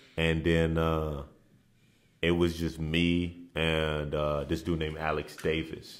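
In a room with audible echo, a man with a very deep, low voice speaks very slowly in a flat monotone. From Dallas, Texas (born in Nigeria, moved at seven or eight). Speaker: former college basketball player. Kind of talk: casual interview.

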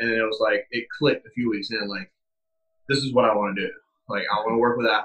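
This man has an American accent and a medium pitch. He talks at a very fast pace. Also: fairly even intonation. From US South (South Carolina). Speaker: strength and conditioning coach, army veteran. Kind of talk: interview.

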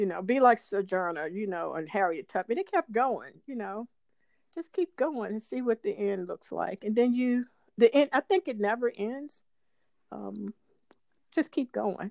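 Her voice is a plain, everyday voice. The woman has a fairly high pitch and lively intonation. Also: moderate pace. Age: 60s. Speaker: podcast co-host. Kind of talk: casual chat.

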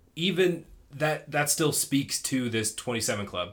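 With lively intonation and a normal speaking voice, a man talks at a fairly slow pace. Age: 20s. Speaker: podcast host. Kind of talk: casual chat.

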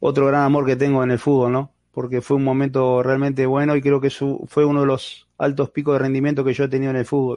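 With a Uruguayan accent, this man talks very fast in a fairly high pitch, hardly pausing, his loudness very even and his intonation monotone and flat. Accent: Rioplatense Spanish (Uruguayan), voseo. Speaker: retired goalkeeper and football coach. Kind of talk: interview.

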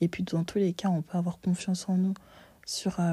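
A woman's medium-pitched, somewhat breathy voice with a dark, mellow tone on a very clean recording with a silent background. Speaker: solo podcast host. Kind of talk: casual monologue. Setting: bedroom.

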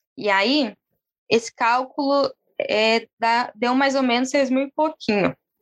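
At a very slow pace, a woman speaks in a calm tone with a high pitch and fairly even intonation. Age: 20s. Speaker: city councillor candidate and activist. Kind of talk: interview.

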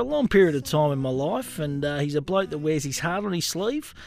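With an Australian accent, a man speaks at a fairly quick pace with a fairly high pitch and ordinary pitch variation. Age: 40s. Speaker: podcast host. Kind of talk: casual interview.

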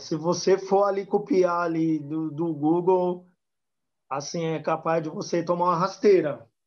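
Speaking at a fairly slow pace, the man has a high-pitched voice. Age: 30s. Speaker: samba music social media page creator. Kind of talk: casual interview.

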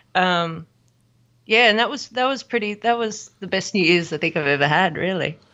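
A woman speaks in an Australian accent at medium pitch. Her intonation is lively and her pace moderate. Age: 30s. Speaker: musician. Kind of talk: casual chat.

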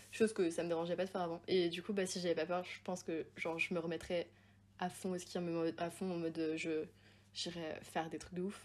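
Intonation stays flat and monotone at a fairly quick pace, broken by long, frequent pauses. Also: woman, fairly low pitch for a woman. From Haute-Savoie, France (Évian). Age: 20s. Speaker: university student and podcaster. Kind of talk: casual chat.

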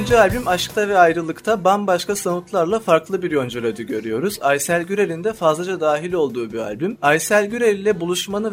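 Over noticeable background noise, a man with a high pitch and lively intonation talks with hardly any pauses. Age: 20s. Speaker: podcast host. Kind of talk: interview.

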